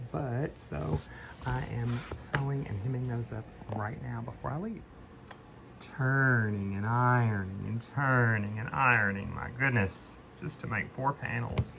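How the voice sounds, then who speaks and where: Noticeable background noise sits under a man's medium-pitched voice. He talks at a moderate pace with ordinary pitch variation. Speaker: theater costumer vlogger. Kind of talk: casual vlog narration. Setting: in a car. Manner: whispering backstage.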